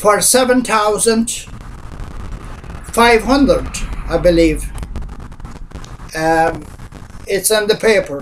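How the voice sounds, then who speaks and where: Amid noticeable background noise, a man with a high pitch speaks at a very slow pace, with long, frequent pauses, very even loudness and ordinary pitch variation. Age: 60s. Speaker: pensioner. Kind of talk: personal statement to camera. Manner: hesitant.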